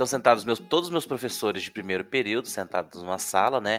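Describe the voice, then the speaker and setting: A man speaks at a medium pitch and a fairly quick pace. His tone is bright and sharp on a very clean recording with a silent background. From Brazil, Minas Gerais (Uberlândia). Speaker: teacher, podcast co-host. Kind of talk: casual chat.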